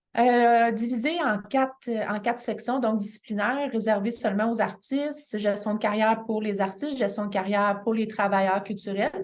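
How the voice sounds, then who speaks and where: Speaking with a Quebec accent at a moderate pace, a woman has a fairly high pitch and ordinary pitch variation. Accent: Québécois French. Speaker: continuing education coordinator. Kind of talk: information session presentation. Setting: midday meeting with audience. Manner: halting, many fillers.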